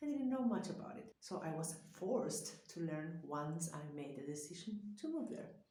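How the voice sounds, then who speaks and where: At a moderate pace and with hardly any pauses, a woman with a fairly low pitch makes very wide pitch swings amid audible room echo. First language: Spanish. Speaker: psychologist. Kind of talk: vlog talk to camera.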